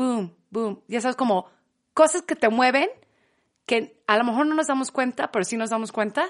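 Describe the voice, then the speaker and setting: Against a quiet background, a woman with a high pitch talks at a moderate pace with lively intonation, the sound dry and close with no echo. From England, Manchester. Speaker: podcast guest. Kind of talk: casual chat.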